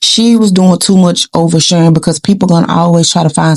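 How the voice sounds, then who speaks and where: Speaking at a fairly quick pace, a woman has a fairly low pitch. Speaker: YouTube commentary vlogger. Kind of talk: casual commentary vlog. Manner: animated.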